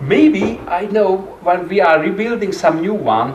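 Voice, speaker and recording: A man's high voice with a Hungarian accent at a fairly slow pace, amid noticeable background noise and audible room echo. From Hungary. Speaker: clarinettist and music teacher. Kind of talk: masterclass lecture. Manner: halting.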